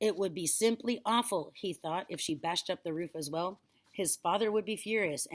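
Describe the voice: Ordinary pitch variation over plain reading aloud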